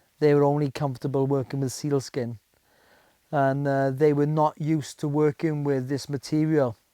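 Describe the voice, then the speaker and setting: A man's fairly high-pitched voice with a dark, mellow tone and a South Welsh accent, at a moderate pace, monotone and flat, in a dry, close sound with no echo. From Wales, the Welsh valleys. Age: 50s. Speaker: bushcraft instructor. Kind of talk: documentary interview. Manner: hesitant, many fillers.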